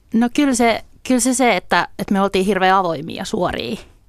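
On a very clean recording with a silent background, a woman talks at a moderate pace with lively intonation. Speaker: guest. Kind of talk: radio interview. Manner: halting, repeats words.

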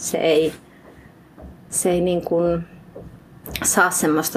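Noticeable background noise sits behind a woman's fairly low voice. She speaks very slowly. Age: 30s. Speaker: writer. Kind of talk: interview. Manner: halting.

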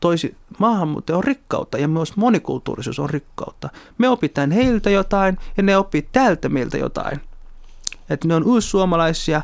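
A man speaks at a moderate pace in a high pitch, with lively intonation and a quiet background. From Somalia. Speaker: party activist and politician. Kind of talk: interview.

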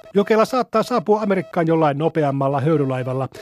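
Music plays in the background as a man speaks at a moderate pace. His pitch is fairly high and his intonation lively. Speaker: newsreader. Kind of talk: period newsreel-style news reading, scripted and solemn like a 1912 bulletin. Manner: measured, clear and authoritative, newsreader cadence.

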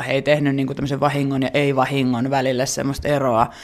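A man rattles along at a very fast pace. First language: Finnish (speaking Swedish). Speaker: researcher. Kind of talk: interview.

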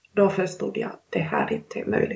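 A woman speaks at a moderate pace with a Finnish accent. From Finland. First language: Finnish (speaking Swedish). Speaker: author. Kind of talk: interview. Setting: video call. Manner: halting.

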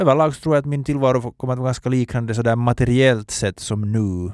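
A man with a Finland-Swedish accent speaks at medium pitch and a moderate pace, with ordinary pitch variation. The very clean recording has a silent background and a dry, close sound with no echo. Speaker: podcast host. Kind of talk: casual chat.

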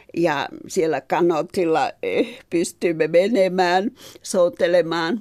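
Her pitch is fairly low, and this woman speaks at a very slow pace. Her pitch varies in an ordinary way. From Finland, Helsinki and Ruovesi. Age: 70s. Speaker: expatriate textile artist. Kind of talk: interview.

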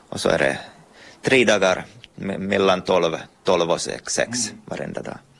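Ordinary pitch variation at a moderate pace, with long, frequent pauses and noticeable background noise. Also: man, very deep, low pitch for a man. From Ostrobothnia, Finland (Pedersöre, Purmo). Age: 30s. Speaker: artist and author. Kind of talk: interview.

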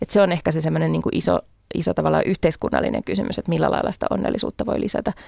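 The recording is a dry, close sound with no echo. In it, a woman talks very fast. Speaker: party chair, feminist politician. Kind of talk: radio interview. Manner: hesitant, many fillers.

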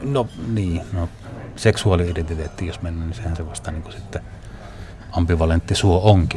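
With noticeable noise behind him, a man speaks at a moderate pace in a very deep, low voice, with ordinary pitch variation and big swings in loudness. He takes long, frequent pauses. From Northern Finland, Northern Ostrobothnia. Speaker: documentary filmmaker. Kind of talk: interview.

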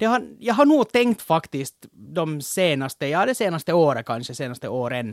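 At a moderate pace, a man speaks with a fairly high pitch and very wide pitch swings, captured on a very clean recording with a silent background and a dry, close sound with no echo. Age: 30s. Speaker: podcast co-host. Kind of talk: casual chat.

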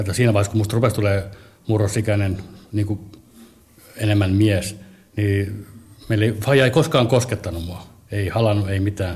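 A man with a fairly low, somewhat breathy voice keeps his intonation fairly even and leaves long, frequent pauses. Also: moderate pace. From Helsinki, Finland. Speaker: comedian. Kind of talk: personal testimony. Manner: halting.

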